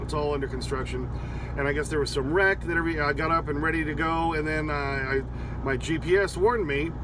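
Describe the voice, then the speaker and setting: A man talks at a fairly quick pace, his voice dry with no echo and noticeable background noise behind it. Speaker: truck driver vlogger. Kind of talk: casual vlog chat. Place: car. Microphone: phone near.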